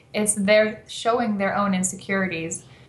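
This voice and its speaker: Amid audible room echo, a woman talks at a moderate pace with monotone, flat intonation. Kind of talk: interview answer. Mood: relaxed, explanatory. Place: home room. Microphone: video call.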